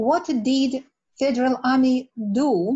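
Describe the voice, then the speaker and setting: In a Russian accent, a woman speaks at a high pitch with ordinary pitch variation over a quiet background. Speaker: researcher; audience member. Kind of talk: audience question. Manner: halting. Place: home room. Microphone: webcam.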